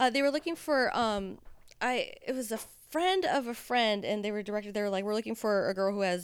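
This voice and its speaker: A woman speaks at a medium pitch and a fairly quick pace with lively intonation, recorded very cleanly against a silent background. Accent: American. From Southern California. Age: 30s. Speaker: adult film performer. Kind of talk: casual chat. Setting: studio.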